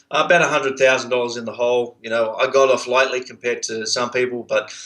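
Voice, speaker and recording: Medium in pitch, this man's voice has a bright, sharp tone and an Australian accent. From Australia, Sydney. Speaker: entrepreneur, outsourcing business owner. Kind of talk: interview. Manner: halting, many fillers.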